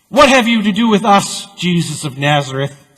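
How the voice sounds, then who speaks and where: A man's put-on character voice, high-pitched, at a moderate pace. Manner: seething.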